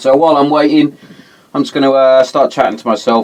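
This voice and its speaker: This man speaks at a medium pitch with a British accent. Background noise is noticeable. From England. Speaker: podcast host. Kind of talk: casual chat. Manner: fast.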